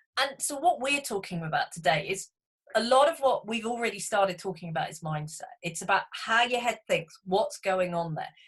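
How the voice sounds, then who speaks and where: With a British accent, a woman speaks at a medium pitch and moderate pace, somewhat breathy and with lively intonation. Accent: British, described as cute. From England. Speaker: business coach for accountants. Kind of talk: webinar presentation. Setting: online webinar.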